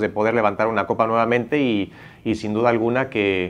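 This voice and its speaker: Fairly level intonation and a fairly brisk tempo shape this man's speech. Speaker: national team head coach. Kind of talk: press conference answer. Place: hall. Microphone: podium.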